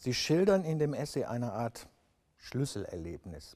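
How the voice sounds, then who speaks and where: Somewhat breathy with a dark, mellow tone, a man speaks at a fairly slow pace. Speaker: TV interviewer. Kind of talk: interview. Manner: formal.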